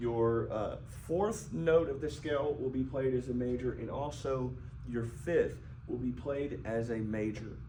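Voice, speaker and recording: Fairly slow speech from a man at a medium pitch with ordinary pitch variation, amid audible room echo. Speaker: piano teacher. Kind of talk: tutorial. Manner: halting.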